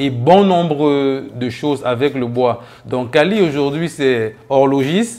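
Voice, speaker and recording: Music plays in the background while the voice shows ordinary pitch variation. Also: man. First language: a Cameroonian local language (speaking French). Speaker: entrepreneur, wood craftsman. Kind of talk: interview monologue, self-presentation.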